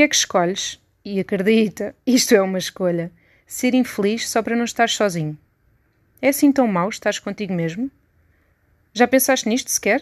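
Speaking at a moderate pace with long, frequent pauses and ordinary pitch variation, a woman sounds dry and close with no echo against a quiet background. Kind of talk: literary audiobook reading, intimate essay-like monologue addressed to 'you'. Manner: conversational, witty and wry, with a confiding tone and rhetorical questions.

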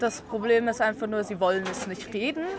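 A woman's fairly high voice with ordinary pitch variation, crowd noise in the background. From Luxembourg. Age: 20s. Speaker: piercer and make-up artist. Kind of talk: interview. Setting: outdoors at a café table.

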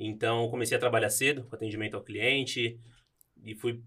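Fairly quickly and in a monotone, flat intonation, a man speaks at a medium pitch. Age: 20s. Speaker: bank employee. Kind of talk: casual chat.

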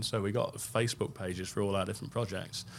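In an East Midlands accent, a man talks at a very fast pace. His pitch is fairly low and his intonation fairly even. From England. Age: 40s. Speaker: car restoration company co-founder and designer. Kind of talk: interview conversation. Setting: studio.

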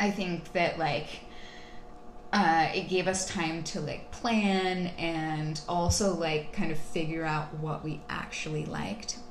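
Noticeable background noise and audible room echo surround a woman with a fairly low pitch. She talks at a very slow pace with long, frequent pauses. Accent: American. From Texas. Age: 20s. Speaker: podcast guest. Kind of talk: casual interview. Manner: hesitant, many fillers.

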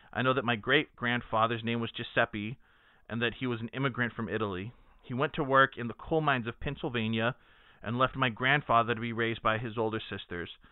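Speaking fairly quickly in a normal speaking voice, a man with an American accent keeps a medium pitch and fairly even intonation. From Texas (Dallas). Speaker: sports podcast host. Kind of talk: reading aloud; casual chat.

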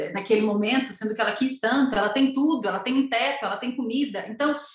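High-pitched female voice. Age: 30s. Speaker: entrepreneur offering postpartum planning for mothers. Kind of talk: interview conversation.

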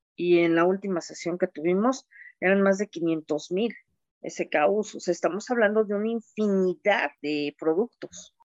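A woman talks in an unremarkable speaking voice at a medium pitch and a fairly slow pace. Pitch variation is ordinary, and the sound is dry and close with no echo. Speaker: procurement manager. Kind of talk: panel discussion.

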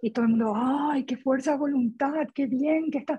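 A woman's high-pitched voice with a dark, mellow tone, ordinary pitch variation and a moderate pace. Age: 40s. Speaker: dieting support group member. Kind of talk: group conversation.

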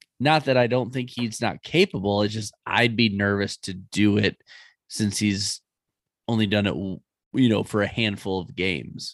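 In a normal speaking voice, a man talks at a moderate pace with a fairly low pitch and ordinary pitch variation, the sound dry and close with no echo on a very clean recording with a silent background. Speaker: guest fantasy football co-host. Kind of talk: casual chat, banter about fantasy football.

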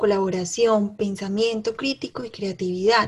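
A woman with a normal speaking voice talks at a fairly slow pace in a medium pitch with ordinary pitch variation. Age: 20s. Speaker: podcast co-host, entrepreneur and mother. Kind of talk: casual chat.

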